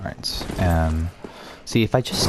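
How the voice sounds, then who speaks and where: With music in the background, a quiet man with a very deep, low pitch talks at a fairly slow pace using lively intonation. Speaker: gaming YouTuber. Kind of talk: gameplay commentary. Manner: halting.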